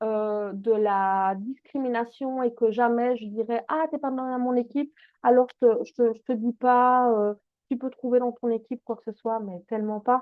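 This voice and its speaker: Speaking with a Belgian accent, a woman uses a high pitch and ordinary pitch variation. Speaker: essential oils business coach. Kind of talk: online masterclass. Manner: animated.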